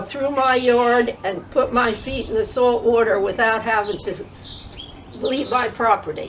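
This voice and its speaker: A woman with an American accent speaks at a fairly slow pace in a high voice. Noticeable background noise can be heard. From northern New Jersey. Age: 80s+. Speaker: grandmother interviewee. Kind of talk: interview.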